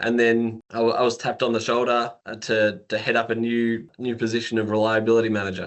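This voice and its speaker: At a fairly quick pace, a man speaks in a medium pitch with hardly any pauses. His intonation is monotone and flat. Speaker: engineering manager. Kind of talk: podcast interview.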